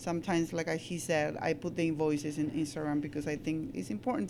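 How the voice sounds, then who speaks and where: A woman speaks at a very fast pace in a very deep, low voice with ordinary pitch variation and a dark, mellow tone. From Peru. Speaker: smoothie bar co-owner. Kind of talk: casual interview chat.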